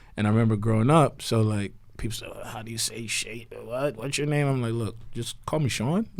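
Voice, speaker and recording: A man talks fairly quickly in an ordinary speaking voice, at a medium pitch with ordinary pitch variation. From US, Nigerian parents, moved from Nigeria at three. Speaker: podcast co-host. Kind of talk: casual chat.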